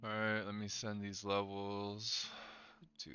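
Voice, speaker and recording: A quiet man speaks at a fairly slow pace in a fairly low pitch. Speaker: day trader livestreamer. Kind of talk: live trading stream chat. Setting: live stream.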